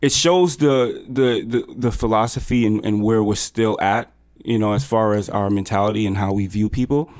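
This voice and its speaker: A man with an American accent and an ordinary speaking voice talks at a moderate pace in a medium pitch, with ordinary pitch variation and very even loudness. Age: 20s. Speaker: entrepreneur, app founder. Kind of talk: interview. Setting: hotel room.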